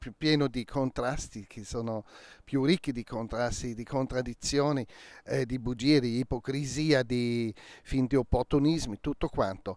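Against a quiet background, a man with a German accent speaks at a fairly slow pace with fairly even intonation, the sound dry with no echo. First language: German (speaking Italian). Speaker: crime novelist; interviewee. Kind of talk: interview. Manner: halting. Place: garden. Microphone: handheld.

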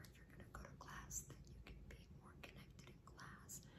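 Someone whispers at a moderate pace. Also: woman. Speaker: hypnosis/ASMR channel host. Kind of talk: whispered ASMR hypnosis session to camera. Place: home room. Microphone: phone near.

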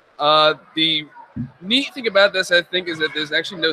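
With an American accent, a high-pitched man speaks at a moderate pace over light background noise. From Nazareth, Pennsylvania. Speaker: hobbyist builder. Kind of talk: casual interview at convention. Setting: live stream at fan convention. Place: hall. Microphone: studio mic.

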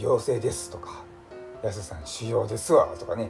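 Clear music plays in the background. A man speaks over it at a fairly quick pace. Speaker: vlogger. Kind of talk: casual vlog chat. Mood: relieved, relaxed storytelling. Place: home room. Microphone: phone near.

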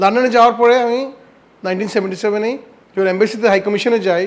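A man talks with ordinary pitch variation. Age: 70s. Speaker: former ambassador. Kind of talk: interview.

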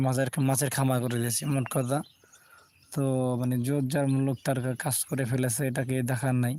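A man speaks with a dark, mellow tone in a flat, monotone intonation at very even loudness. The sound is dry with no echo, and there is light background noise. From Bangladesh, Shariatpur; Bangladesh. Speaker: live-streaming vlogger. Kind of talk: live stream nature tour. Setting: outdoors, on a boat. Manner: halting, broken phrases. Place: open country. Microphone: phone near.

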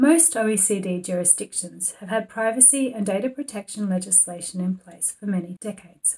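A woman speaks at a fairly quick pace with hardly any pauses, her dark, mellow tone somewhat breathy, her loudness swinging widely and her pitch varying in an ordinary way. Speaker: competition policy expert. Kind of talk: institutional policy briefing to camera. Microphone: webcam.

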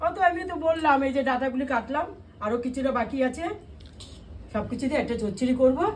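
Speaking with ordinary pitch variation, a woman uses a high-pitched voice. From Kolkata, India. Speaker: vlogger, home cook. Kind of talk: casual cooking vlog chat.

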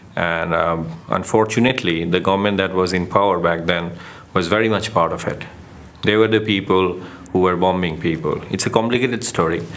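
Amid audible room echo and noticeable background noise, a man with a Bengali accent speaks at a fairly quick pace in a very deep, low pitch with ordinary pitch variation. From Bangladesh. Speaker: documentary photographer. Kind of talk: interview testimony. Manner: hesitant, with fillers.

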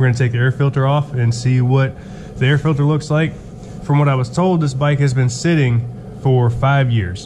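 A man talking at a fairly quick pace with fairly even intonation, over noticeable background noise. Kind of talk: casual vlog chat. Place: garage. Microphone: phone near.

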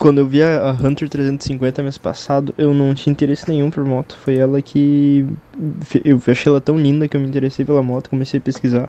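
Fairly high-pitched and monotone with flat intonation, a man speaks at a fairly quick pace in a dry sound with no echo. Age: 20s. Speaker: listener sending a question; vlogger reading viewer questions. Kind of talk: recorded voice message. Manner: halting. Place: home room.

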